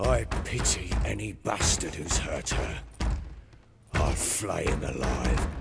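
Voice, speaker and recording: A man's put-on character voice, very deep and low, gruff and raspy, at a fairly slow pace and very even loudness. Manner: gruff, brooding, flaring to anger.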